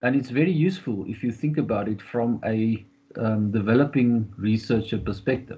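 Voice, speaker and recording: A man with ordinary pitch variation, somewhat breathy, at a moderate pace. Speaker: professor. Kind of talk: presentation. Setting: video call. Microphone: webcam.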